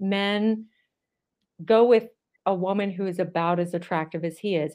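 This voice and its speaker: Against a quiet background, a woman speaks in a plain, everyday voice at medium pitch with ordinary pitch variation. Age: 50s. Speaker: psychologist and dating coach. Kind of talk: interview.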